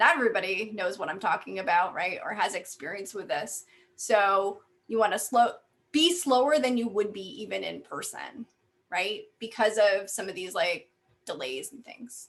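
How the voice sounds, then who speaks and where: A woman with a normal speaking voice talks at a medium pitch and a moderate pace, her intonation lively and her loudness swinging widely. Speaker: university faculty member and workshop presenter. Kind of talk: workshop presentation.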